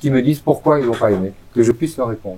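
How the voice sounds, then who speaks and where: The speaker is a man talking very fast. His pitch moves in an ordinary way. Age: 60s. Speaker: chef and restaurant owner. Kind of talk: interview.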